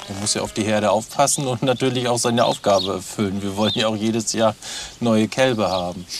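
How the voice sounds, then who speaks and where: Over music in the background, a man with a fairly low pitch talks at a very fast pace with fairly even intonation. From Mecklenburg, Waren. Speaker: nature education farm worker. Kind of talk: guided tour.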